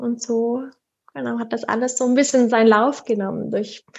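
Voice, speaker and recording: This woman has a plain, everyday voice. She speaks at a fairly high pitch and a moderate pace. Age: 30s. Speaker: sleep consultant and mother. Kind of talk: interview.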